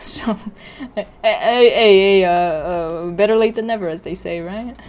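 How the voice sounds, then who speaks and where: A woman talks with fairly even intonation at a moderate pace, noticeable background noise behind her. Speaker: vtuber 3D modeling streamer. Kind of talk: casual live stream chat. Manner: halting.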